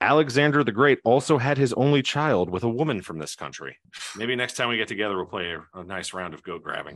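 Man with an American accent, medium pitch and vocal fry, fairly quick, lively intonation and big loudness swings, against a quiet background. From New Jersey. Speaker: trivia quiz host. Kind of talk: quiz show hosting.

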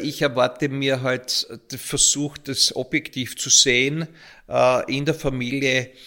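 At a very slow pace, a man with a fairly high pitch and a bright, sharp tone speaks with fairly even intonation. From Austria, Graz (Styria). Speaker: local politician. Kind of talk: interview. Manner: halting, repeats words.

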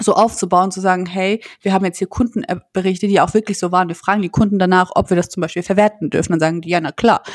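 A woman's medium-pitched voice at a very fast pace, fairly even in intonation, with a dry, close sound and no echo. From Landau, Rhineland-Palatinate, Germany. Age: 20s. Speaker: company co-founder. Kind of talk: interview.

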